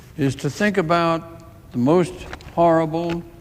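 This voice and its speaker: A man's fairly high voice at a very slow pace, with noticeable noise behind it. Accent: American. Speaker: US senator. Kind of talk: formal political speech in a legislative chamber. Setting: legislative chamber, recorded speech. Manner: solemn, deliberate, impassioned.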